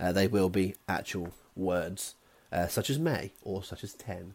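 This man has a dark, mellow tone and a West Country accent. The recording is very clean, with a silent background. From West Country, England. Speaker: quiz host. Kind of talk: scripted quiz presentation.

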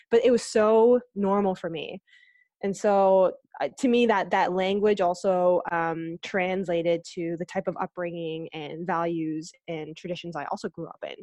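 A woman's medium-pitched, dark and mellow voice in a Canadian accent, with big swings in loudness against a quiet background. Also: moderate pace. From Canada, Ontario (Aurora). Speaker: sales director. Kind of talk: casual interview chat. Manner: animated.

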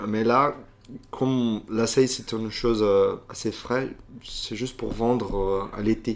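This man has a Portuguese accent and a medium pitch. His intonation is a flat monotone, and his pace is very slow. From Brazil, Belo Horizonte (Minas Gerais). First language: Portuguese (speaking French). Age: 30s. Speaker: restaurant manager and former lawyer. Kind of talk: interview. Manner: halting.

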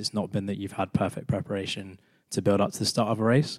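A man with a British accent talks at a fairly quick pace. The recording is very clean, dry and close, with a silent background and no echo. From UK. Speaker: amateur runner. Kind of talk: casual chat.

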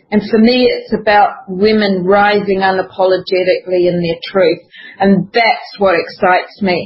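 Through noticeable background noise, a woman talks at a medium pitch with fairly even intonation. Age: 60s. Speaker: natural perfumer. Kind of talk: interview.

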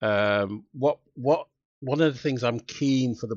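A man with a London accent, fairly slow pace and ordinary pitch variation. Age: 60s. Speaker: former police officer and diversity trainer. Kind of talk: interview conversation.

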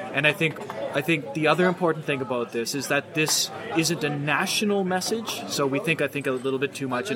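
Against noticeable background noise, a man with a Maritime Canadian accent speaks at a fairly quick pace, his fairly high pitch varying in an ordinary way. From Nova Scotia, Canada. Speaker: political science professor. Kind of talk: casual chat. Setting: outdoors at a pub.

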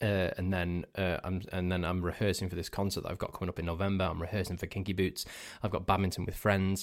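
In a Cheshire accent, a man speaks very fast with a very deep, low pitch and monotone, flat intonation, in a very clean recording with a silent background. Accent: northern English (Cheshire). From northern England. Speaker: podcast host. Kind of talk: casual solo chat. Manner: rambling, self-correcting, playful.

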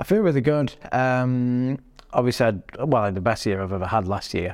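A man with a Yorkshire accent at a moderate pace, on a very clean recording with a silent background. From Sheffield, northern England. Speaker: strongman athlete. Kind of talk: casual chat.

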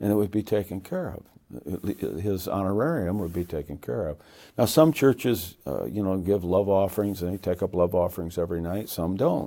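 A very deep, low male voice with a dark, mellow tone and an American accent, on a very clean recording with a silent background. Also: ordinary pitch variation, moderate pace. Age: 70s. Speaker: evangelist. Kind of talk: interview. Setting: studio.

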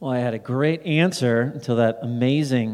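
Pitched at a medium level, a man's voice is an unremarkable speaking voice. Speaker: minimalism author and nonprofit founder. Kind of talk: live podcast conversation answering audience questions. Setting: stage with audience.

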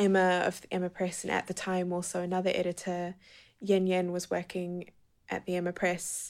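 In a very clean recording with a silent background, a woman speaks with a New Zealand accent. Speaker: poet and writer. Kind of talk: interview; reading aloud.

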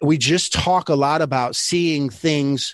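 With an American accent and an ordinary speaking voice, a man speaks at a fairly high pitch with ordinary pitch variation against a quiet background. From Michigan. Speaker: leadership consultant and former basketball coach. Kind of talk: interview.

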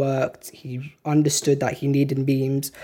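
A moderate pace in a British accent. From UK. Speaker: music journalist and student. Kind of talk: casual chat.

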